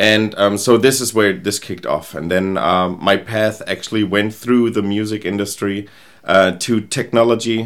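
A man's fairly low-pitched voice in a German accent, with fairly even intonation. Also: moderate pace. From Germany, Rheingau near Frankfurt. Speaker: agency founder and product strategist. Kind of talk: interview.

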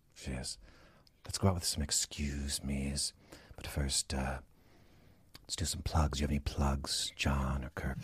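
Very deep and low, a man's voice carries vocal fry and monotone, flat intonation at a moderate pace with long, frequent pauses. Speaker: comedian doing impressions. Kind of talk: comedy sketch, in character.

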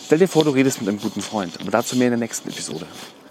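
A man speaks against noticeable background noise. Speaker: podcast host. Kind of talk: solo podcast monologue. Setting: outdoors, walking in the woods. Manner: frequent filler hesitations.

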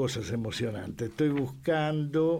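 A man with a Rioplatense accent speaks fairly slowly in a dark, mellow tone with ordinary pitch variation. The room has an audible echo. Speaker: rock journalist and writer. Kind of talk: casual chat.

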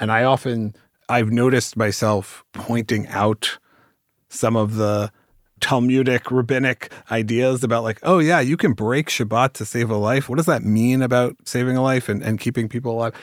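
With a General American accent, a man has an unremarkable speaking voice of medium pitch, talking at a moderate pace with fairly even intonation on a very clean recording with a silent background and a dry, close sound with no echo. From US West Coast (Bay Area). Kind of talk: casual chat.

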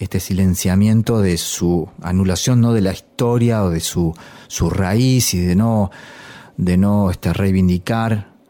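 The man's voice sits fairly low. Its pitch varies in an ordinary way. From Argentina, La Pampa and various provinces. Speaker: musician and teacher. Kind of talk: documentary interview. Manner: halting, many repetitions and fillers.

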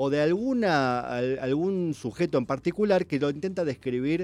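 Intonation is lively, and the delivery keeps a moderate pace. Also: man. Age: 40s. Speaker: writer. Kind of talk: casual radio chat.

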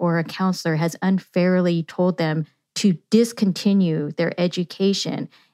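A woman with an American accent, medium-pitched with a dark, mellow tone, speaking fairly slowly in a dry, close sound with no echo and a very clean recording with a silent background. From Yuba City, rural California. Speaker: political scientist and professor. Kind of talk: interview conversation.

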